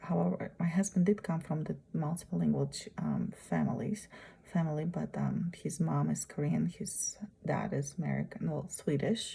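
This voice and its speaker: This woman talks at a moderate pace with a Russian accent. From Uzbekistan. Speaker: graduate student. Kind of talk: presentation. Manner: halting.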